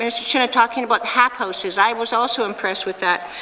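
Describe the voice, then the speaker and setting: Noticeable background noise beneath a woman's fairly even intonation. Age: 60s. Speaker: premier, politician. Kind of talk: parliamentary debate answer. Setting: legislative assembly chamber.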